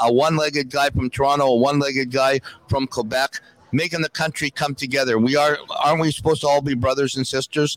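The speech runs at a fairly quick pace with fairly even intonation, recorded dry and close with no echo amid noticeable background noise. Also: man. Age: 60s. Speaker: former hockey goalie and coach. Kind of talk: casual chat. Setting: live event at a restaurant.

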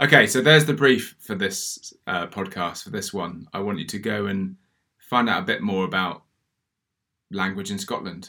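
With a southern English accent, a man speaks at a fairly low pitch in a bright, sharp tone with ordinary pitch variation, in a very clean recording with a silent background. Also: moderate pace. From southern England, Oxford. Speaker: podcast co-host. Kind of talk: casual chat. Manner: halting.

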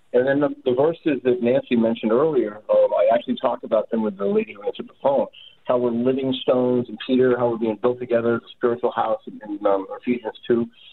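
A man rattles off his words at a very fast pace with hardly any pauses. Noticeable background noise runs underneath. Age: 60s. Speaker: radio caller. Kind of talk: testimony. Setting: phone call. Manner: halting.

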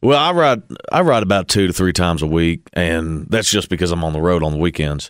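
Recorded very cleanly against a silent background, a man with a Kentucky accent speaks at a very deep, low pitch with ordinary pitch variation. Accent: Kentucky Southern US. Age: 20s. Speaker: country singer. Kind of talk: interview. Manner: halting, many fillers and repeats.

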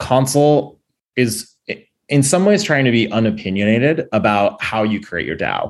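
This man has an energetic tone and lively intonation at a medium pitch. He keeps a moderate pace against a quiet background. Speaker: startup co-founder building chat software. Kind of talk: interview.

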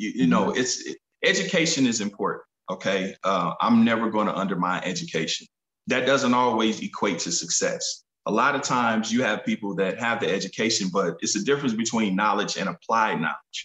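Speaking at a fairly quick pace with an American accent, a man uses lively intonation and an unremarkable speaking voice at a medium pitch. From US Midwest, Kansas City, Missouri. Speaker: rapper and entrepreneur. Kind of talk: interview.

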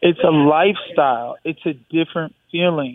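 With an American accent, a man speaks in a plain, everyday voice at a fairly high pitch. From Michigan, US. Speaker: UFC fighter. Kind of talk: interview. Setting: phone call.

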